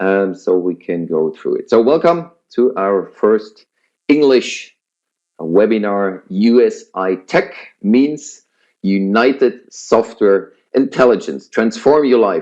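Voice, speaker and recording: Speaking very slowly with a Swiss German accent, a man uses lively intonation at a medium pitch. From Switzerland. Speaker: business presenter. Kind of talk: sales pitch webinar. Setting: online webinar. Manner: hesitant, many fillers.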